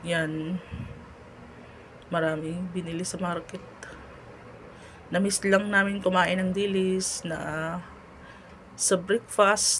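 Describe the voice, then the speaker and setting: This woman has a medium pitch and a monotone, flat intonation. She speaks at a very slow pace with long, frequent pauses over noticeable background noise. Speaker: cooking vlogger. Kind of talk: cooking tutorial. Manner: casual, chatty.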